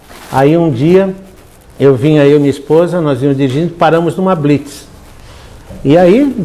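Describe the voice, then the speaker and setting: A man's voice sits at a fairly high pitch with a dark, mellow tone. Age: 70s. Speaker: pastor. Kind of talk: sermon. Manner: animated storytelling.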